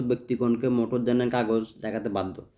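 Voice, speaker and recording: The man's voice has a dark, mellow tone. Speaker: YouTube tutorial creator. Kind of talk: reading aloud.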